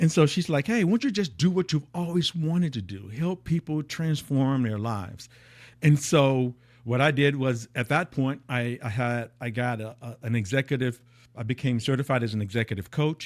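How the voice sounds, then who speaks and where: A man speaks at a medium pitch with lively intonation, in an unremarkable speaking voice. The recording is very clean, with a silent background. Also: moderate pace. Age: 60s. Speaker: high-performance coach. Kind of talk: podcast interview. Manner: repetitive false starts.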